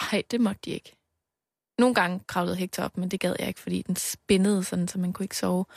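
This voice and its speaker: A woman talks at a very fast pace in a monotone, flat delivery, with a dry, close sound with no echo and a very clean recording over a silent background. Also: medium pitch for a woman. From Denmark, Aarhus. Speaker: radio host. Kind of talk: casual chat.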